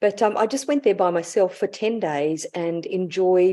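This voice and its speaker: Over a quiet background, a woman with an Australian accent speaks at a very slow pace in a dark, mellow tone. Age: 60s. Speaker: intuitive life guide. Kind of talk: casual chat.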